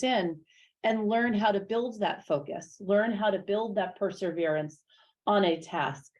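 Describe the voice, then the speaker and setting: Medium pitch from a woman at a moderate pace, with ordinary pitch variation against a quiet background. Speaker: teacher. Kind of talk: public information session talk. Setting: meeting room with small live audience. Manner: hesitant with many fillers and repeats.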